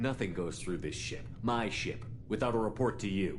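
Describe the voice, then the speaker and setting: In a put-on character voice, a man speaks at a moderate pace and medium pitch over clear background noise. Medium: video game.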